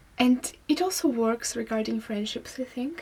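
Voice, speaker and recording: A woman's dark, mellow tone at a fairly slow pace. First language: not English. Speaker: singer-songwriter and vlogger. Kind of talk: casual vlog monologue. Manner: halting.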